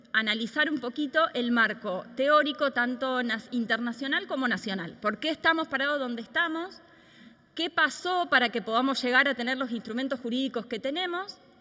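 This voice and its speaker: A woman projects her voice in a high pitch, her tone bright and sharp. Her intonation is lively and her pace moderate. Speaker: law professor and researcher. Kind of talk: lecture.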